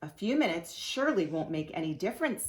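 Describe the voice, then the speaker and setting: Put-on character voice, female-sounding and medium-pitched, gruff and growling at a very fast pace. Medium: read story.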